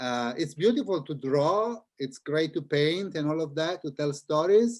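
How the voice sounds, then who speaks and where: Speaking at a fairly slow pace, a man with an Italian accent uses lively intonation. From Italy (Milan). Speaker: children's book author and illustrator. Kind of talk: interview talk with audience. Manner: halting, repeats words.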